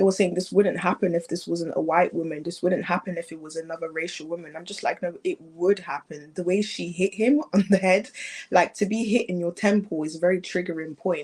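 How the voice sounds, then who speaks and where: With a British accent, a woman with a fairly low pitch talks at a fairly quick pace with hardly any pauses, keeping her intonation fairly even amid big swings in loudness. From England. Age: young. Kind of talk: interview answer.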